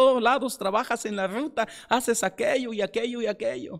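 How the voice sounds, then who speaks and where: Very clean recording of a man's voice, background silent. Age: young. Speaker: pastor. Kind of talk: sermon. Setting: church. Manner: halting.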